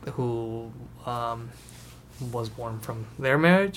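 The room echo is audible around this man's voice. He speaks at a medium pitch with a Spanish accent. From Mexico, Tijuana. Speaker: podcast host. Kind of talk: casual chat.

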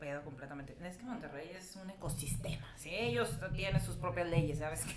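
A fairly low-pitched woman with lively intonation at a moderate pace, amid noticeable background noise and audible room echo. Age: 30s. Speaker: stand-up comedian. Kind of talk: casual chat.

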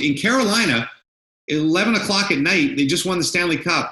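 Speaking at a moderate pace with a Canadian accent, a man has a bright, sharp tone, with audible room echo. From Canada. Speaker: sports broadcaster. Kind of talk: casual interview chat.

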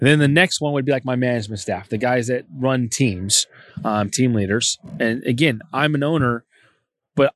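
A plain, everyday voice at a moderate pace with ordinary pitch variation, dry, close sound with no echo and a quiet background. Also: man. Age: 30s. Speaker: appliance store and HVAC business owner. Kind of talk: interview. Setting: convention.

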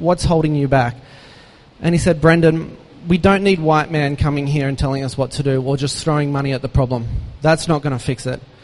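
Speaking with an Australian accent, a man has a fairly high pitch and fairly even intonation. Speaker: charity founder. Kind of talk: inspirational talk. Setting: stage with audience.

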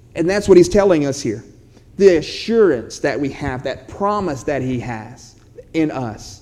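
Room echo is audible as a fairly high-pitched man speaks at a fairly slow pace. His pitch swings very widely. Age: 30s. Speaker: pastor. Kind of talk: sermon.

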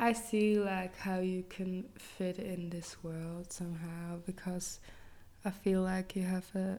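A woman speaks very slowly in a monotone, flat intonation, her medium-pitched voice carrying a dark, mellow tone. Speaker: podcast co-host, musician. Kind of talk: casual chat.

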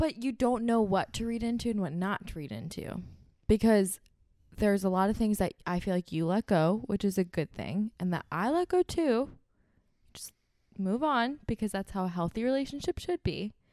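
Soft-spoken delivery with lively intonation and a dark, mellow tone at a moderate pace, dry and close with no echo, on a very clean recording with a silent background. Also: woman, medium pitch for a woman. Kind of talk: casual chat. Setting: studio.

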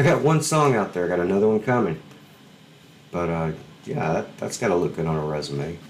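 A man with an American accent and a very deep, low pitch, fairly quick pace, very wide pitch swings and long, frequent pauses, amid noticeable background noise. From Alabama, US South. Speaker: podcast host, musician. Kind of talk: casual chat. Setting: video call.

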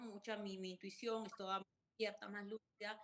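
A woman's medium-pitched voice at a moderate pace with monotone, flat intonation. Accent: Peruvian. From Peru, Chimbote. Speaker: restaurant entrepreneur and author. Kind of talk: interview. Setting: video call.

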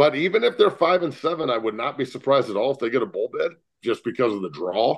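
A man's fairly high voice with vocal fry and an American accent, very fast, with very wide pitch swings. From Colorado (Boulder). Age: 40s. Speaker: former football player. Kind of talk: casual interview. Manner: animated.

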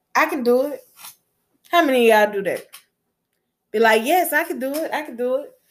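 A woman with a Southern US accent, high in pitch, with ordinary pitch variation. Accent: Southern US, noticeable. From US Gulf Coast. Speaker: podcast host and chef. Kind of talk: solo podcast monologue, motivational. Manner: warm, upbeat, encouraging.

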